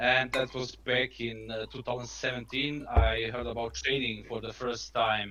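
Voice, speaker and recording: A man with a Croatian accent, medium pitch and monotone, flat intonation, at a moderate pace with hardly any pauses, over noticeable background noise. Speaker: trader guest. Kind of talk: casual live stream chat. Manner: halting.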